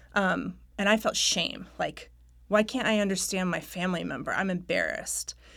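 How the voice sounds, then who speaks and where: A woman with an American accent at a moderate pace in a very clean recording against a silent background. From Raleigh, North Carolina. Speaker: novelist. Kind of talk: radio interview.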